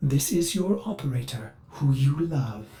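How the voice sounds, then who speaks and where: A man uses a put-on character voice with lively intonation. He speaks at a moderate pace. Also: medium pitch for a man. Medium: short film. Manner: condescending, cold.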